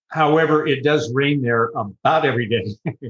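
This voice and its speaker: A man with a West Coast US accent. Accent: American (West Coast). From Southern California. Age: 70s. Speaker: retiree. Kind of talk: interview. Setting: video call.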